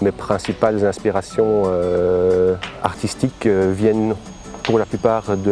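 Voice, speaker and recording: Noticeable background noise sits behind a man's voice. He speaks in a fairly low pitch with fairly even intonation. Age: 40s. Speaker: visual artist. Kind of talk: interview monologue. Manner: halting, many fillers.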